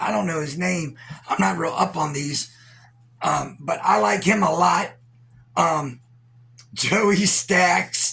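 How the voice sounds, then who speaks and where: A man's high-pitched voice with a bright, sharp tone, lively intonation and a very slow pace. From Virginia, US. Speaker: YouTuber and internet radio host. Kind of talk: casual reaction commentary. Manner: rambling, casual with profanity.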